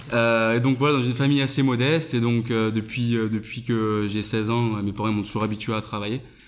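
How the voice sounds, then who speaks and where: Fairly quick speech in a slight southern French accent, with hardly any pauses. The intonation stays fairly even. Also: man, medium pitch for a man. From southern France. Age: 20s. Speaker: online entrepreneur. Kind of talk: interview. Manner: hesitant, many fillers.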